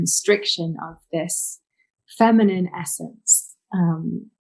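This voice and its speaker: Her British accent comes through in a fairly low, somewhat breathy voice. The woman's intonation is fairly even. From England, North London. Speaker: holistic healer and author. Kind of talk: interview.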